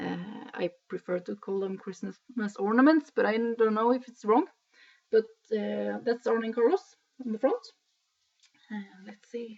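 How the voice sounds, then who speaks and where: The speaker has a Swedish accent and a fairly slow pace. Long, frequent pauses break up the speech. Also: woman, fairly high pitch for a woman, ordinary pitch variation. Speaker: knitting podcaster. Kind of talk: casual video podcast talk. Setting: at home in living room. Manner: hesitant, many filler sounds.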